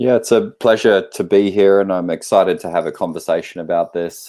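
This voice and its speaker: A man with an Australian accent speaks at a moderate pace and with fairly even intonation, in a very clean recording with a silent background. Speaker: naturopathic practitioner and lecturer. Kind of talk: interview. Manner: halting.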